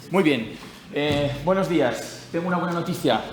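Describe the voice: A man's fairly high voice with lively intonation at a moderate pace, with audible room echo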